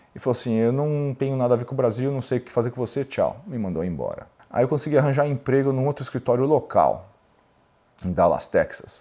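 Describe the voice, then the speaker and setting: At a fairly quick pace, a man with a dark, mellow tone and medium pitch speaks with ordinary pitch variation and big swings in loudness. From Brazil, São Paulo. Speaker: lawyer and entrepreneur. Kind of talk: interview storytelling.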